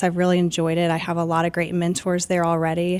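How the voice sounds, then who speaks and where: A woman talks at a fairly quick pace in a fairly low voice. The recording is very clean, with a silent background. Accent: American. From US South, Georgia (Marietta, near Atlanta). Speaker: radiation oncologist. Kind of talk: podcast interview.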